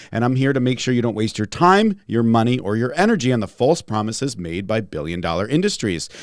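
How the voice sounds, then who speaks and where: Animated in tone, a man talks at a very fast pace. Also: very clean recording, silent background. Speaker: holistic pharmacist and podcast host. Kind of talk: podcast conversation. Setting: studio. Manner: animated, can get ranty.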